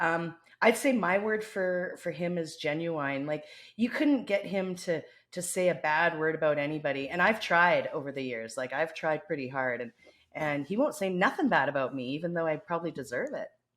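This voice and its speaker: A woman speaks with a slight Canadian accent and lively intonation. Her pitch is fairly low. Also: moderate pace. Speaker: podcast co-host, consulting executive. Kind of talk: casual chat.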